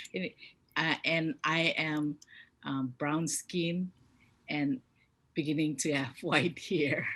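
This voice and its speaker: Speaking at a very slow pace with long, frequent pauses, a woman has a very deep, low pitch. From Micronesia. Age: 50s. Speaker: community leader. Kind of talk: panel discussion. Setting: video call. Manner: hesitant, many fillers.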